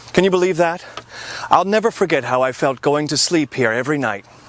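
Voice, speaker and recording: Over noticeable background noise, a man with an American accent talks with lively intonation. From US. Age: 40s. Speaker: spokesperson in a sales video. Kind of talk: sales pitch.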